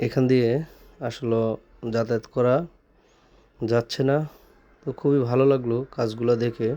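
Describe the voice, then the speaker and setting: Flat and monotone, a man's voice sits at medium pitch with a dark, mellow tone. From Bangladesh, Chandpur (Faridganj). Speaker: vlogger. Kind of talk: casual video vlog. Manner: halting.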